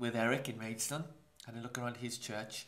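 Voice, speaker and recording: A man speaks with a Welsh accent. Room echo is audible. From Wales, Maesteg near Swansea. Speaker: pastor. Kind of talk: interview.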